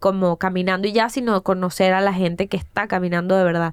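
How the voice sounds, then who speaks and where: A woman talks at a moderate pace in a medium-pitched voice. The recording is very clean, with a silent background. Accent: Caracas Venezuelan. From Venezuela, Caracas. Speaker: TV and comedy producer. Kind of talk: casual interview.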